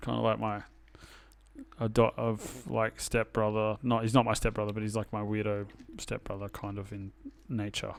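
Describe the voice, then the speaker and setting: With an Australian accent, a man speaks at a moderate pace and fairly low pitch, his intonation fairly even and broken by long, frequent pauses. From Sydney northern beaches, Australia. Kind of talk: casual chat.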